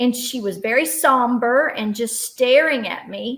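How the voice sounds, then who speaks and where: Fairly high in pitch, a woman's voice moves at a fairly slow pace with ordinary pitch variation. It is an unremarkable speaking voice. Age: 60s. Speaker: author and speaker. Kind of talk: workshop storytelling.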